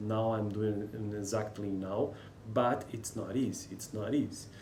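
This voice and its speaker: A man speaks with a Brazilian Portuguese accent at a fairly low pitch and a fairly slow pace. Room echo is audible. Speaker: linguistics student and English learner. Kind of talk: reading aloud with commentary. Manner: halting.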